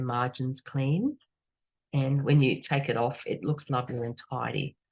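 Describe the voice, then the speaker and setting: A woman with a very deep, low pitch and a somewhat breathy sound speaks at a moderate pace. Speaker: art teacher. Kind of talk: tutorial. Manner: casual, chatty.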